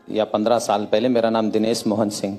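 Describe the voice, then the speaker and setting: A man speaks at a medium pitch. Background noise is noticeable. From Mumbai, India (family from Uttar Pradesh). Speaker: convert to Islam. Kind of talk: testimony.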